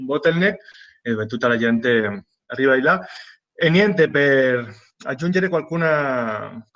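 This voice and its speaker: A man's medium-pitched voice with a non-native accent and ordinary pitch variation. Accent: non-native Italian, foreign. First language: Spanish (speaking Italian). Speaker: humanitarian aid worker. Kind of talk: panel talk. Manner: halting.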